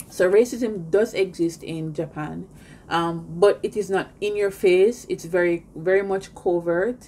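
A woman's dark, mellow, medium-pitched voice, fairly even in intonation and fairly slow in pace. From Jamaica. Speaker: YouTuber living abroad. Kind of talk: personal vlog monologue. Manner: conversational, frequent fillers. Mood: earnest, indignant storytelling.

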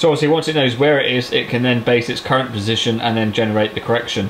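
A man speaking very fast with fairly even intonation, over light background noise. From Cornwall, England. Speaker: farmer and YouTuber. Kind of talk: tutorial. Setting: farm workshop. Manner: casual, hesitant with fillers. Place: workshop.

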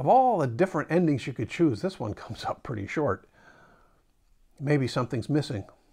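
Against a quiet background, a man with a dark, mellow, somewhat breathy tone swings his pitch very widely. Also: fairly quick pace. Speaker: pastor. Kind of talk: sermon. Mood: reflective, gently conversational. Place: home room. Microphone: lapel.

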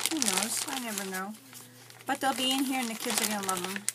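Over loud background noise, a woman talks with ordinary pitch variation. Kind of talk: casual vlog chat. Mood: pleased, chatty. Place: home room.

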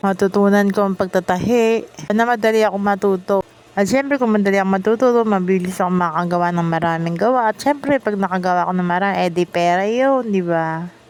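Noticeable background noise accompanies a woman at a medium pitch. She speaks at a very fast pace. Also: ordinary pitch variation. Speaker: vlogger. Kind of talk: casual vlog monologue.

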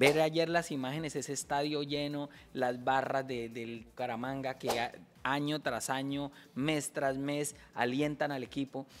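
A man's fairly high voice, monotone and flat, at a fairly slow pace over noticeable background noise. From Colombia, Bucaramanga; Colombia. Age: 40s. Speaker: comedian. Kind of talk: casual chat. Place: studio. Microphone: studio mic.

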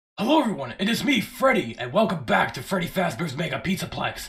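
Using a put-on character voice, a man races along at a very fast pace, his high pitch making very wide swings. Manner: character voice, unedited raw take.

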